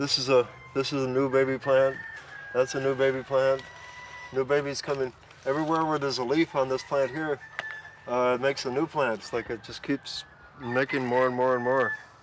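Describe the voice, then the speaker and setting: Talking at a fairly quick pace in an American accent, a man keeps a monotone, flat intonation with long, frequent pauses. Noticeable background noise is present. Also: medium pitch for a man. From US West Coast (Altadena, California). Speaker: compost gardener. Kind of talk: casual tour and chat. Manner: halting, many fillers.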